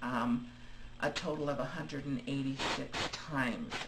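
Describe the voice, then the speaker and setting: Noticeable noise sits under speech delivered at a fairly slow pace. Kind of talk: casual video diary talk to camera. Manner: hesitant, many fillers; rambling.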